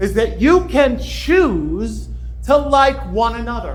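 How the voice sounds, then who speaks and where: A man speaks against noticeable background noise. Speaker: professional speaker and entertainer. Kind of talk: conference talk to a live audience. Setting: live event stage.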